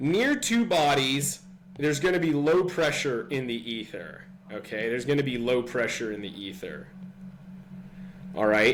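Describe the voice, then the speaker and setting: With audible room echo, a man at a fairly high pitch talks at a moderate pace, his pitch swinging very widely and his speech broken by long, frequent pauses. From California. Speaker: physics tutor. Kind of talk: tutorial. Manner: hesitant, many fillers; casual.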